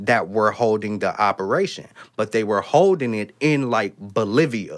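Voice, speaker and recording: An unremarkable speaking voice from a man in an American accent, medium pitch, ordinary pitch variation, very clean recording and silent background. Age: 30s. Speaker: podcast co-host. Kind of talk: casual chat.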